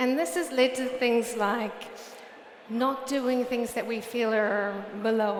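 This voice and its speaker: In a New Zealand accent, a woman speaks at a fairly slow pace with monotone, flat intonation, amid noticeable background noise and audible room echo. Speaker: research director, conference speaker. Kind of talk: conference talk. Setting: stage with audience. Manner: blunt.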